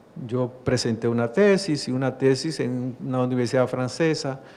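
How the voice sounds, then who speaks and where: A man with a Dominican accent speaks at a medium pitch. His pace is moderate and his pitch variation ordinary. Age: 60s. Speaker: judge. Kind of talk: talk to an audience. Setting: library event with audience.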